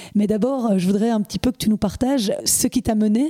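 A woman talks at a fairly quick pace in a fairly high pitch, somewhat breathy with a dark, mellow tone and ordinary pitch variation, in a dry, close sound with no echo. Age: 40s. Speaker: podcast host. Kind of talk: interview. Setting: at the guest's home.

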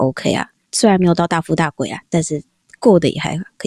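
A woman's dark, mellow voice, fairly low in pitch and fairly quick, on a very clean recording with a silent background and a dry, close sound free of echo. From Taiwan. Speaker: office worker abroad. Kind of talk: casual interview chat.

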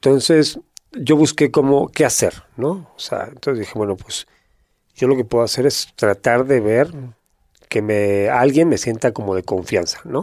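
A man's medium-pitched, unremarkable speaking voice, fairly slow, with lively intonation on a very clean recording against a silent background. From northern Spain, Gijón, Asturias. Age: 50s. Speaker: former prisoner turned entrepreneur. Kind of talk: casual interview chat.

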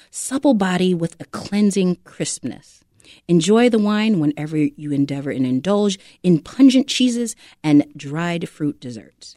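Fairly slow speech from a woman with an American accent, a dark, mellow tone and a fairly low pitch, with very wide pitch swings and a dry, close sound with no echo. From Chicago. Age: 40s. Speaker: wine entrepreneur. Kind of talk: interview; reading aloud. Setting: studio.

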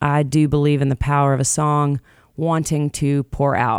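A woman with a Southern US accent speaks at a moderate pace with a very deep, low pitch. Her intonation is monotone and flat, and the sound is dry and close with no echo. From Jackson, Tennessee. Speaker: singer-songwriter. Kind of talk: casual interview chat.

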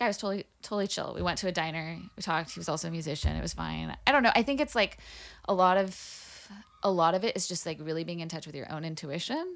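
A woman's very fast speech at a fairly low pitch, with vocal fry, ordinary pitch variation and big swings in loudness, on a very clean recording with a silent background. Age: 30s. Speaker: musician. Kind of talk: casual chat.

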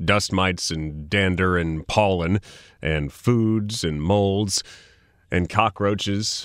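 This man has a very deep, low voice with a Californian accent and speaks at a very slow pace. The recording is very clean, with a silent background. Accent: general American, Californian. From Sacramento, California. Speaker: podcast host. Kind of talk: casual explanatory interview. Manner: animated, conversational.

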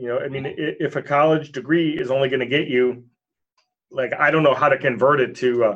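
A man with an American accent uses a normal speaking voice. He keeps a moderate pace at medium pitch. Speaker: real estate entrepreneur. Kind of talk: podcast interview.

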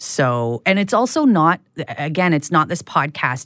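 Someone with a western Canadian accent speaks on a very clean recording with a silent background. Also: woman. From Prince Rupert, coastal British Columbia, Canada. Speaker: podcast host and creator, interviewed as guest. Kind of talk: interview conversation. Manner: hesitant with many fillers and restarts.

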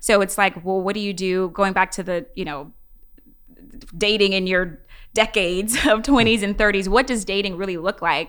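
At a moderate pace, a woman speaks in a normal speaking voice at medium pitch with ordinary pitch variation, on a very clean recording with a silent background. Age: 30s. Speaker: youth ministry leader. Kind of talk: casual panel discussion.

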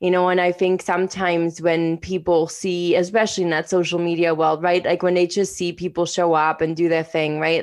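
A woman's fairly low, monotone voice with flat intonation at a moderate pace, set against a quiet background. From outside Canada, immigrated at 21. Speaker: podcast co-host, coach and entrepreneur. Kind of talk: casual conversational podcast chat.

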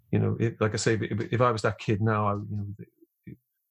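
A man's fairly low, fairly slow voice with vocal fry and a slightly husky edge

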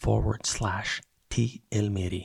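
A soft-spoken man whispers with a somewhat breathy quality in a dry, close sound that has no echo. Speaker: podcast host. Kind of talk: podcast intro, scripted announcements. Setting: home, early morning. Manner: whispering, soft-spoken.

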